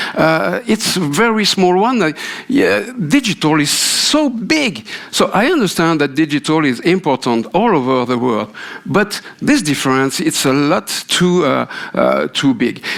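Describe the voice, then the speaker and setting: A man with a French accent talks at a fairly slow pace, his fairly high pitch making very wide swings. His loudness stays very even, and background noise is noticeable. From France. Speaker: radio industry consultant. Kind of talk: keynote speech. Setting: conference stage with audience. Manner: halting, many fillers.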